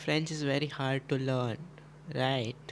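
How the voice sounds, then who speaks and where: Speaking at a fairly slow pace with a Gujarati accent, a man keeps a medium pitch and a monotone, flat intonation. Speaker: chess streamer. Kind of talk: casual live stream chat. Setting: live stream.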